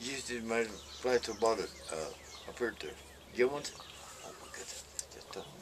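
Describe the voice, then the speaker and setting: A man talking at a fairly quick pace, with big swings in loudness, long, frequent pauses and noticeable background noise. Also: medium pitch for a man, ordinary pitch variation. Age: 70s. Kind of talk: casual chat.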